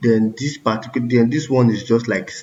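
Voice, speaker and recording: Fairly even intonation from a man at a moderate pace, his voice medium in pitch and somewhat breathy. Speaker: coding tutorial creator. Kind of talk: tutorial.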